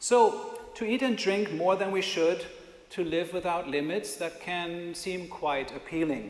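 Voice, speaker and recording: Over noticeable background noise and audible room echo, a man speaks at a fairly slow pace in a high pitch with ordinary pitch variation. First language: not English. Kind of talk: sermon. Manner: conversational.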